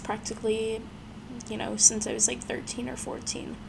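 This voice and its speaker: A woman with an American accent speaks at a fairly slow pace, with audible room echo. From Houston, Texas. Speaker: podcast host. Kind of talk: casual solo podcast monologue.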